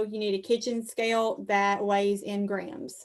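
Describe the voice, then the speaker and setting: A woman speaks with a Southern US accent. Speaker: 4-H extension educator. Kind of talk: presentation on a video call.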